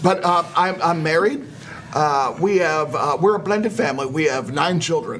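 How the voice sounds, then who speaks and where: With an American accent and a high pitch, a man speaks at a moderate pace with lively intonation and very even loudness, and audible room echo can be heard. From Chicago. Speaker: political candidate, navy veteran. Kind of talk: interview.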